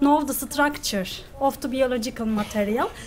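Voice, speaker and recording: Amid noticeable background noise and audible room echo, a woman talks in a high pitch. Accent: Turkish. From Turkey. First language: Turkish. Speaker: graduate student researcher. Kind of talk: conference presentation. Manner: halting.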